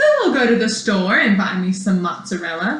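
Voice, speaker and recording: A woman with a medium pitch puts on a character voice, with a slight echo in the sound. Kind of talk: bedtime story. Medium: read story. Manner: polite, cheerful.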